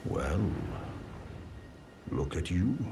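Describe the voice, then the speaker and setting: A man puts on a character voice with a very deep, low pitch amid clear background noise. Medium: video game. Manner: courteous, mild.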